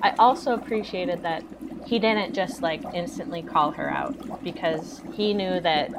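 Over noticeable background noise, a woman speaks at a fairly slow pace. Her pitch swings very widely. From Canada. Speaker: classic film podcaster. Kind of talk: casual chat.

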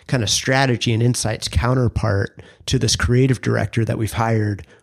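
On a very clean recording with a silent background, a man talks at a moderate pace in a normal speaking voice with ordinary pitch variation. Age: 40s. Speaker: podcast co-host, brand strategist. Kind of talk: casual interview about career story.

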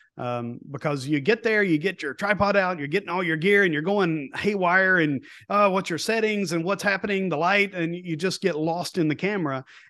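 A man with an Appalachian accent at a moderate pace. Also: quiet background. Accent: Southern US (Appalachian). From East Tennessee. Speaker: podcast host, nature photographer. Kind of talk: casual chat.

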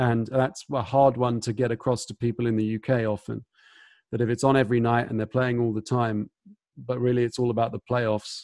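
Over a quiet background, a man with a British accent speaks at a fairly quick pace. His medium-pitched voice has monotone, flat intonation. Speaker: podcast host. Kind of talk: casual interview chat.

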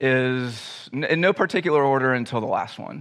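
An unremarkable speaking voice belongs to a man of medium pitch with ordinary pitch variation. He talks at a moderate pace over a quiet background. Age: 30s. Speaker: pastor. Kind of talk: sermon. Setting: church.

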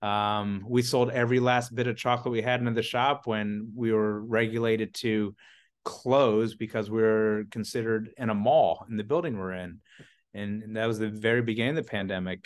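Over a quiet background, a man talks with an American accent at a moderate pace. He has a plain, everyday voice at a medium pitch. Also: fairly even intonation. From US South, Atlanta, Georgia area. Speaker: chocolatier and business owner. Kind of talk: casual interview chat.

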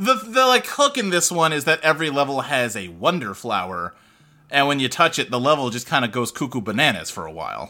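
Talking at a fairly quick pace, a man has a fairly high pitch and very wide pitch swings. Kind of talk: casual chat.

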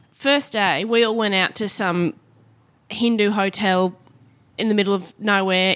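A woman with an Australian accent speaks at a fairly slow pace in a medium pitch, with ordinary pitch variation and long, frequent pauses. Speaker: comedian and TV host. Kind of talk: casual chat.

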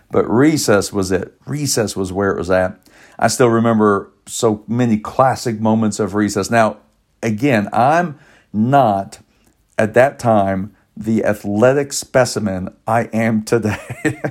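Heard on a very clean recording with a silent background, the speech goes at a fairly slow pace with ordinary pitch variation. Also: man, medium pitch for a man. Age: 50s. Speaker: pastor. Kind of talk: sermon. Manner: animated.

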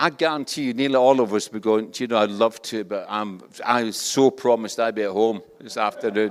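A man with a Scottish accent talks at a fairly quick pace. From Scotland. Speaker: pastor. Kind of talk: sermon. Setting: church.

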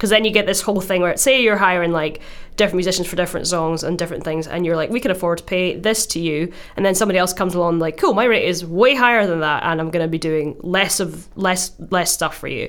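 In a Glaswegian accent, a woman talks at a very fast pace at medium pitch with ordinary pitch variation. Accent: Scottish, Glaswegian. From Glasgow, Scotland. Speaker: musician and podcast co-host. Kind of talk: casual chat. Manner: laughs often, chatty.

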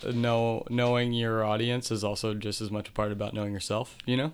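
In an American accent, a man with an unremarkable speaking voice talks at a moderate pace and medium pitch, his intonation fairly even. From Delaware County, Pennsylvania. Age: 30s. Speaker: punk musician. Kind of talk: casual interview.

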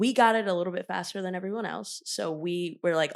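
A woman with an American accent talks quickly in an ordinary speaking voice at a fairly low pitch. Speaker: podcast host. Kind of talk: casual chat. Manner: casual, swears often.

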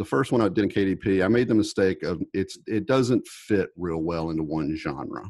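A man with an ordinary speaking voice talks at a moderate pace with hardly any pauses. His fairly low pitch has lively intonation, and the background is quiet. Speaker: indie author.

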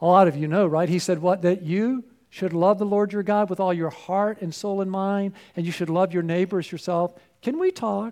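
A man's high pitch at a moderate pace, with fairly even intonation. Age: 60s. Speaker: pastor. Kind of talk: sermon.

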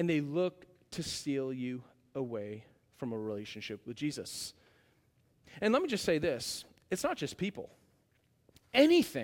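A loud, animated man's voice with very wide pitch swings, a moderate pace and long, frequent pauses. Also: very clean recording, silent background. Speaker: pastor. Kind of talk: sermon. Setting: church.

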